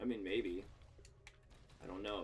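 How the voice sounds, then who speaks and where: With an American accent, a man talks over background music. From United States. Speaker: video game streamer. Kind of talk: casual gaming livestream commentary. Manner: animated, joking.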